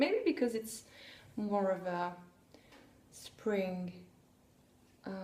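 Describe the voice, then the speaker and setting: A woman's somewhat breathy voice, dark and mellow in tone, moves at a very slow pace with long, frequent pauses. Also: medium pitch for a woman, ordinary pitch variation. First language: French. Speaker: podcaster, knitter and sewist. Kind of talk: casual podcast monologue. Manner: hesitant, many fillers.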